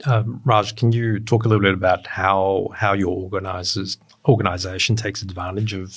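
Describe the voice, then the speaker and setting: At a moderate pace, a man speaks in a fairly low pitch, somewhat breathy, with fairly even intonation. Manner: halting.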